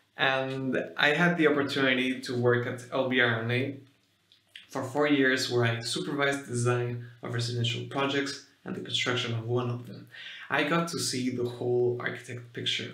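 Audible room echo surrounds a man's voice. He speaks at a moderate pace in a monotone, flat intonation. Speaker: physician and artist; speaker. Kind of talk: public talk. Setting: stage with audience. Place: home room.

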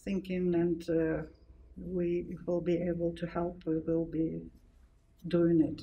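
Speaking very slowly, a woman uses a fairly low pitch and a monotone, flat intonation. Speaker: event host. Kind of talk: opening remarks. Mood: earnest, somber. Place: hall. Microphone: handheld.

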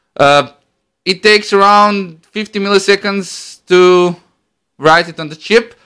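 A man talks at a fairly slow pace with a Croatian accent and a bright, sharp tone. The background is quiet. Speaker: electronics hobbyist demonstrating a homemade device. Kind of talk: tutorial. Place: home room. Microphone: phone near.

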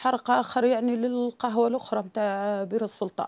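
A woman is speaking. Her pace is moderate. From Tunisia, Douz (south). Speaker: mother of a convicted defendant. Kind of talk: interview testimony.

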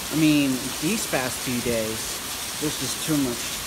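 Loud background noise surrounds a man speaking at a fairly slow pace. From Philippines, Igorot highlands. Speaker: vlogger. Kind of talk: casual talk to camera. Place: street. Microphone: phone near.

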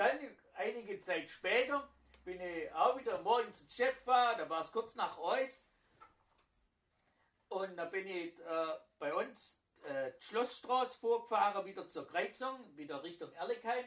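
In a Swabian accent, a man with a high pitch speaks at a fairly slow pace, using lively intonation and long, frequent pauses. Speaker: baker. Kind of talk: casual anecdote storytelling.

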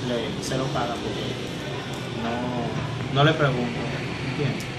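A man speaks over loud background noise. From Dominican Republic. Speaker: firefighter. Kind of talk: interview answer. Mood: subdued, serious. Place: home room. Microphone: phone near.

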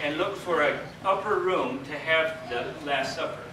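A man speaks at a fairly slow pace. There is noticeable background noise and audible room echo. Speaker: Bible teacher. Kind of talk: sermon. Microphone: camera far.

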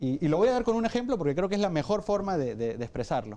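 A man's dark, mellow voice moves through very wide pitch swings. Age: 20s. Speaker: psychologist and public policy advocate; council guest. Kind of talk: debate. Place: studio. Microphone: lapel.

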